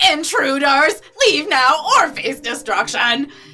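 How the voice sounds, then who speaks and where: Putting on a character voice, a woman speaks at a fairly slow pace with a high pitch and lively intonation. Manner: commanding, threatening.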